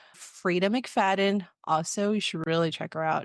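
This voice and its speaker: With an American accent and a plain, everyday voice, a woman speaks at a moderate pace with fairly even intonation over a quiet background. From Texas (Waco). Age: 30s. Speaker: podcast co-host, education administrator. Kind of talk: casual self-introduction.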